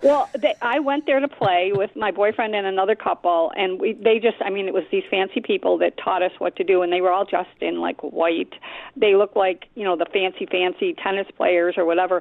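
A woman's medium-pitched voice at a fairly quick pace, with hardly any pauses. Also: ordinary pitch variation. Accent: Buffalo. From Buffalo, New York. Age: 70s. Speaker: radio caller. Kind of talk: call-in chat. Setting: phone call.

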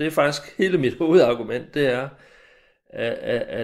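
Vocal fry comes through at a fairly slow pace with ordinary pitch variation on a very clean recording with a silent background. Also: man. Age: 60s. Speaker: retired army major, former lecturer. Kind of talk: recorded interview.

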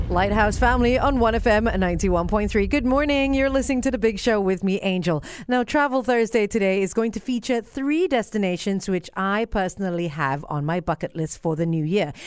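A normal speaking voice from a woman, medium in pitch with lively intonation, at a moderate pace on a very clean recording with a silent background. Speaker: radio host. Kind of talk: radio DJ patter, morning show solo host. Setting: radio studio broadcast. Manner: upbeat, bright, chatty, polished broadcaster.

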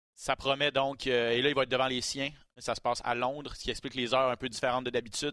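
Very fast, monotone, flat speech from a man at a medium pitch, bright and sharp in tone. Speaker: MMA podcast host. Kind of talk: casual chat.

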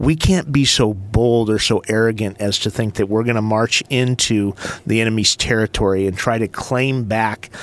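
With an ordinary speaking voice, a man talks at a fairly slow pace and a fairly low pitch. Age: 50s. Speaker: school superintendent. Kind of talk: casual chat.

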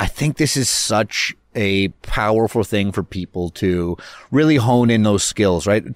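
This man speaks at a fairly slow pace in a fairly low pitch with ordinary pitch variation, a plain, everyday voice, on a very clean recording with a silent background. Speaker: podcast host, mortgage agent. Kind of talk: casual banter podcast. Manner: joking, playful.

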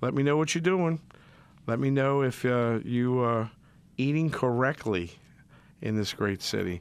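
A man with a New Orleans accent talks at a moderate pace and a medium pitch. His intonation is lively. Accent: New Orleans yat. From New Orleans, Metairie. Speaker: chef, fill-in radio host. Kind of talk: casual radio talk. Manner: animated.

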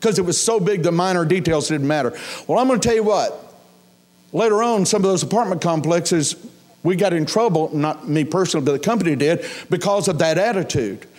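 With an American accent, a high-pitched man speaks at a very fast pace and very even loudness, with audible room echo. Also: ordinary pitch variation. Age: 60s. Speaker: pastor. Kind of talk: sermon.

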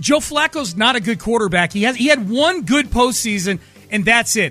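Raised and projected, a man's extremely high-pitched voice has a bright, sharp, passionate tone and lively intonation. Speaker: sports radio host. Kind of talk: heated sports rant. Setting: radio studio. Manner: emphatic, passionate.

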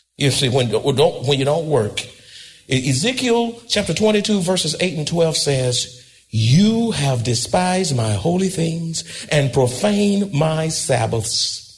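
Over noticeable background noise, a man with a fairly high pitch speaks at a very slow pace, his pitch swinging very widely. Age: 80s+. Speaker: pastor. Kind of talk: sermon. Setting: church. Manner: animated.

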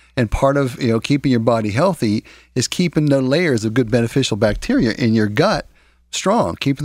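Speaking at a fairly quick pace with very even loudness, a man has an unremarkable speaking voice, captured in a very clean recording with a silent background and a dry, close sound with no echo. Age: 50s. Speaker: natural health practitioner. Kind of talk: radio health talk.

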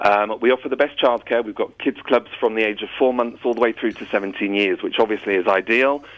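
This man speaks at a medium pitch. His pace is moderate. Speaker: travel company managing director. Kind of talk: radio interview. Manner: hesitant, many fillers.

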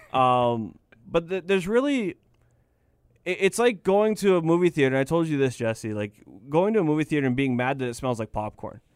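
Very wide pitch swings at a fairly quick pace, in a dry, close sound with no echo. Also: man, fairly high pitch for a man. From Medicine Hat, Alberta. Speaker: hockey podcast co-host. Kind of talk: casual chat.

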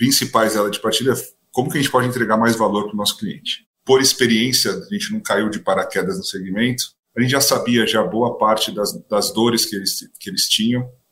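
A man speaks in an ordinary speaking voice. His pitch is medium and his pace fairly quick. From São Paulo, Brazil. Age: 30s. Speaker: startup co-founder, transport executive. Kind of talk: podcast interview.

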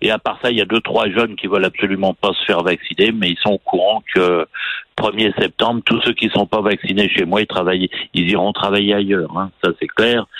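His intonation stays monotone and flat. The man keeps to a moderate pace. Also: fairly low pitch for a man. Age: 60s. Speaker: restaurant owner. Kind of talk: phone interview. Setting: phone call.

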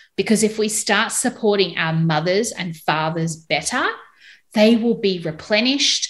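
In an Australian accent, a woman speaks at a medium pitch and a fairly slow pace. Her intonation is lively. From Australia, Melbourne. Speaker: postpartum doula and podcast host. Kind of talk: casual interview chat.

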